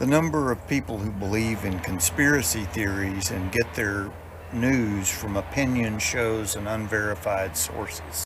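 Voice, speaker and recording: With a Texas accent, a man talks at a fairly slow pace and a fairly low pitch, with audible room echo. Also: ordinary pitch variation. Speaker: retired intelligence officer. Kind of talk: Q&A interview. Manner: terse, matter-of-fact.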